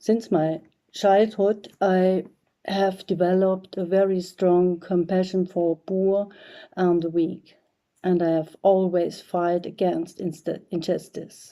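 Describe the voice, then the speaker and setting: In a German accent, a woman speaks very slowly at a medium pitch, her tone dark and mellow and her intonation monotone and flat. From East Germany. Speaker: artist. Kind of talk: prepared video message. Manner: halting.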